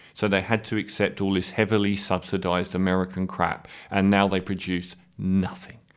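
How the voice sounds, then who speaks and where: A man talks at a moderate pace, captured in a very clean recording against a silent background. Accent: British. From UK. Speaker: political commentator. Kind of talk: monologue rant.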